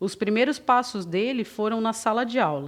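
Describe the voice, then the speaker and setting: A woman speaks at a moderate pace with lively intonation. Hers is a normal speaking voice, fairly high in pitch. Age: 30s. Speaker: spiritist lecturer. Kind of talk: lecture.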